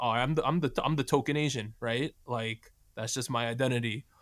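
On a very clean recording with a silent background, a man with a New Jersey accent talks fairly quickly at a medium pitch, using ordinary pitch variation. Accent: American, New Jersey. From New Jersey, US. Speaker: K-pop podcast host. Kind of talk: casual chat.

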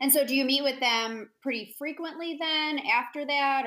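This woman speaks with an American accent at a moderate pace. Her intonation is lively. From United States. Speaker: podcast host. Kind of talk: scripted outro; casual interview.

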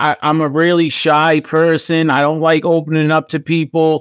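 A man with a Boston accent speaks at a fairly slow pace in a high voice, on a very clean recording with a silent background. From US Northeast, Boston. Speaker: podcast host. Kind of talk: casual chat.

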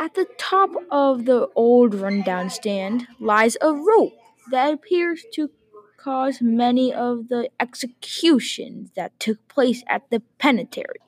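A woman with a high pitch speaks at a fairly slow pace in a dramatic tone, her intonation lively. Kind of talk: horror narration, second-person scripted story. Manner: slow, ominous, dramatic.

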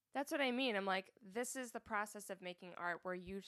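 A woman with an unremarkable speaking voice talks at a medium pitch with lively intonation, the sound dry and close with no echo. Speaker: podcast co-host. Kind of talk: casual chat.

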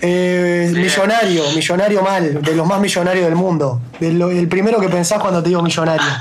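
Barely pausing, a high-pitched man speaks at a moderate pace with fairly even intonation, amid noticeable background noise and audible room echo. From Montevideo, Uruguay. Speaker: radio co-host. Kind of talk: casual chat.

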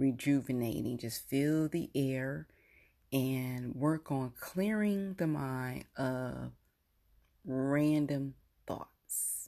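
A woman speaks very slowly in a very deep, low voice with a dark, mellow tone and ordinary pitch variation. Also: quiet background. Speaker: podcast host. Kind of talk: guided meditation. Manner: slow, calm, soothing, coaching breath by breath.

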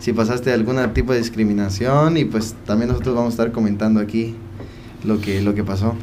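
Medium-pitched male voice amid noticeable background noise and audible room echo. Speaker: podcast host. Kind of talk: casual chat.

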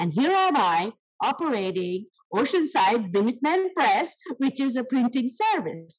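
Speaking in an Indian accent, a woman uses a high pitch with very wide pitch swings. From South India. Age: 70s. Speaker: small business owner. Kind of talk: interview. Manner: animated.

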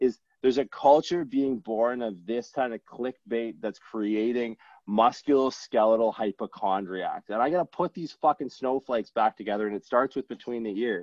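A man's medium-pitched, plain, everyday voice at a moderate pace with ordinary pitch variation. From Newfoundland, Canada. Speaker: chiropractor and strength coach. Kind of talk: casual chat.

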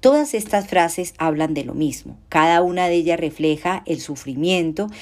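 A woman with an unremarkable speaking voice talks at a moderate pace in a fairly low pitch with ordinary pitch variation. The recording is very clean, with a silent background. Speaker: law professor. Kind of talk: academic talk. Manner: formal.

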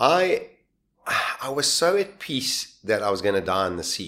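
This man is heard on a very clean recording against a silent background. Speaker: shipwreck survivor and author. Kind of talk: interview storytelling. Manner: animated.

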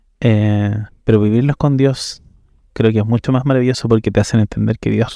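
A man with a Chilean accent, fairly low-pitched and dark, mellow in tone, at a moderate pace with fairly even intonation, in a very clean recording with a silent background and a dry, close sound with no echo. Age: 30s. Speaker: interview guest sharing life story. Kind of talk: personal testimony. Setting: café.

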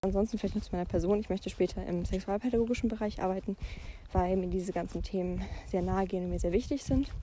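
A woman speaks at medium pitch with a dark, mellow tone. Her intonation is fairly even and her pace very fast. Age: young. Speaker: podcaster. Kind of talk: casual monologue. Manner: hesitant, many filler sounds.

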